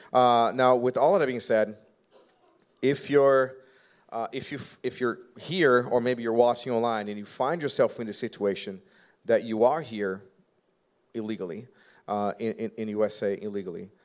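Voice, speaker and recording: Medium-pitched male voice with a Brazilian accent at a moderate pace, with long, frequent pauses, ordinary pitch variation, and a very clean recording with a silent background. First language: Portuguese. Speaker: pastor. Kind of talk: live church panel Q&A. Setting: church stage with audience. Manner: joking.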